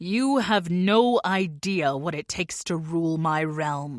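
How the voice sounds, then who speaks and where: A put-on character voice at a middle pitch talks at a fairly slow pace. The recording is very clean with a silent background. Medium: read story. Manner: cold, menacing.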